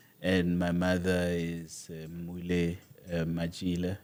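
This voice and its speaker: A man speaks at a very slow pace with a very deep, low pitch. The recording is very clean with a silent background. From South Africa, Limpopo (Bela Bela). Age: 40s. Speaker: author. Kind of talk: interview.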